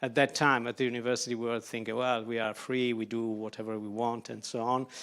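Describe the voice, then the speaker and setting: With an Italian accent, a man rattles off his words at a very fast pace in monotone, flat intonation, on a very clean recording with a silent background. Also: medium pitch for a man. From Italy. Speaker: architect. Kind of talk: lecture. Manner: halting, many fillers.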